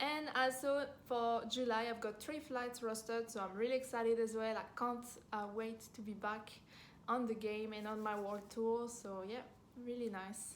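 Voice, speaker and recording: A woman with a French accent speaks at a fairly high pitch with fairly even intonation. Audible room echo surrounds her voice. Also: moderate pace. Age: 20s. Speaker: flight attendant and vlogger. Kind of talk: casual Q&A vlog. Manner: hesitant, many fillers.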